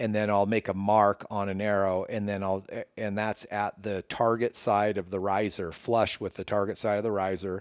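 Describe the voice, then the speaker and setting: Over a silent background in a very clean recording, a man speaks in a monotone, flat intonation with an American accent. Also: dry, close sound with no echo. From Northern California. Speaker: bowyer. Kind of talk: casual interview. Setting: in person, his workshop.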